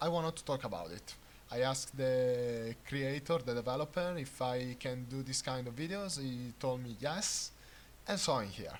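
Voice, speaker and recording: With an Italian accent, a man speaks at a medium pitch with ordinary pitch variation. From Italy. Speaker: gaming YouTuber. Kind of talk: unscripted game commentary. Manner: hesitant, many filler sounds.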